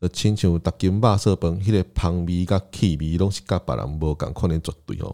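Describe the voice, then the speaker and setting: In a very clean recording with a silent background, a man with a Taiwanese accent speaks in a very deep, low pitch and a dark, mellow tone. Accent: Taiwanese Mandarin. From southern Taiwan (Tainan and Kaohsiung). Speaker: podcast host. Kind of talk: solo podcast monologue, alternating Taiwanese Hokkien and Mandarin.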